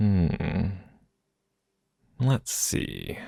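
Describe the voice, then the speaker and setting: A man with a gentle tone, vocal fry and lively intonation comes through on a very clean recording with a silent background. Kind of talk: ASMR boyfriend roleplay. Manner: gentle, affectionate.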